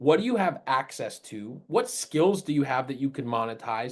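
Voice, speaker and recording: An animated man with an American accent and a fairly high pitch speaks at a moderate pace with lively intonation. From Rhode Island, US. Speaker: high school entrepreneurship teacher. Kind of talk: webinar presentation.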